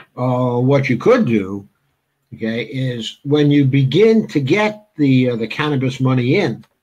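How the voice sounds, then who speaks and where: A man's medium-pitched, somewhat breathy voice at a very slow pace. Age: 70s. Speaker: political talk show host. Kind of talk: interview. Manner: halting.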